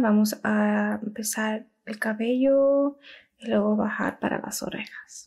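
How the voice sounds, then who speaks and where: A somewhat breathy woman at a very slow pace over a quiet background. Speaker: ASMR content creator. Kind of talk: ASMR roleplay, talking to camera. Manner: soft-spoken, slow. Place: home room. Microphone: studio mic.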